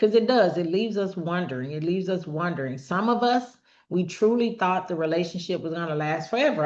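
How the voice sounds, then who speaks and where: A woman's plain, everyday voice at medium pitch and a fairly quick pace. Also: quiet background. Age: 50s. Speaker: relationship talk show host. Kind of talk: personal monologue on healing. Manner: conversational, informal.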